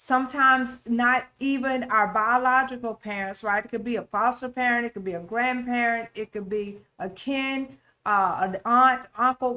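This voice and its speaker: Loud and bright with a sharp tone, the voice moves at a moderate pace with fairly even intonation and hardly any pauses. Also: woman, high pitch for a woman. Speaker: relationship talk show host. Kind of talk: faith-based relationship teaching.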